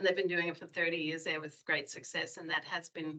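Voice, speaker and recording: This woman has a bright, sharp tone and a fairly low pitch, speaking with an Australian accent. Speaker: public health staff member. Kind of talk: public meeting discussion.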